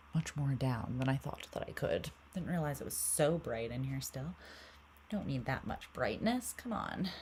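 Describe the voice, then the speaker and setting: At a moderate pace, a woman speaks with a very deep, low pitch, a somewhat breathy sound and lively intonation. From Canada. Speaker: tarot reader. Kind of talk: casual chat. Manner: soft-spoken. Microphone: mic sensitivity turned up, heard as too quiet.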